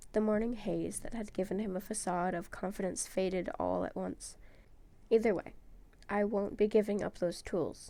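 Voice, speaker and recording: A woman's medium-pitched voice carries noticeable vocal fry. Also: moderate pace. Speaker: podfic reader. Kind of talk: fanfiction audiobook reading.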